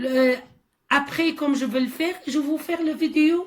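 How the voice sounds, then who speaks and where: This woman has a non-native accent and a high pitch. She talks at a fairly slow pace. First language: not French (speaking French). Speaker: gardening video maker. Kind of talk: tutorial. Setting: at home by a small greenhouse. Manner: halting, many hesitations.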